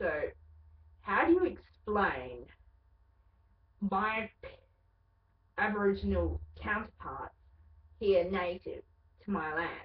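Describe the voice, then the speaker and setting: A woman with an Australian accent, very slow and broken by long, frequent pauses. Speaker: vlogger. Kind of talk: casual webcam monologue.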